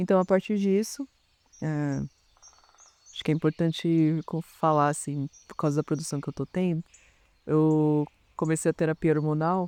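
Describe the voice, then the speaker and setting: A man with a fairly high pitch talks at a moderate pace, using long, frequent pauses and fairly even intonation. The sound is dry and close, with no echo. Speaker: artist in residence. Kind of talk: reflective interview testimony. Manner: halting, with false starts.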